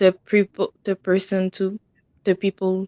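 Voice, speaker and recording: A woman speaks at a fairly slow pace with a non-native accent. Her pitch is medium, and the sound is dry and close with no echo. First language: French. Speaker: livestream viewer joining. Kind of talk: casual livestream chat. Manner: halting.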